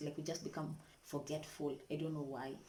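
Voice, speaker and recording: With audible room echo, a woman speaks quietly in a somewhat breathy voice and a monotone, flat intonation. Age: young. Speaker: vlogger, student mother. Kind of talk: casual vlog tips. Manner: quiet, keeping voice down.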